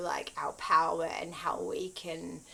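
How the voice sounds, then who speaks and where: A woman talks at a fairly slow pace. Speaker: spiritual content creator. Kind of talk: casual spiritual talk to camera. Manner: hesitant, many fillers.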